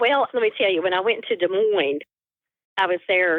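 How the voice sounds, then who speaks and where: Her pitch medium and ordinarily varied, a woman speaks with a slight northeast Tennessee accent. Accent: subtle northeast Tennessee. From Appalachian southwest Virginia near northeast Tennessee. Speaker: quilter. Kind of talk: interview.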